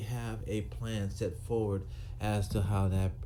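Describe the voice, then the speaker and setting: A man at a fairly slow pace and fairly low pitch, with audible room echo. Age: 60s. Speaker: retired police officer. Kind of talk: monologue to camera. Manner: halting, with fillers and repetitions.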